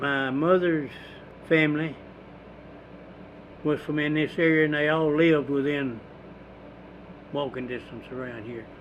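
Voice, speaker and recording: With audible room echo, a man in an East Texas accent speaks at a fairly high pitch and moderate pace, using fairly even intonation and long, frequent pauses. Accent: East Texas Southern US. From East Texas, Houston County. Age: 90s. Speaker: war veteran and farmer. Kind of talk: oral history interview. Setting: at his home.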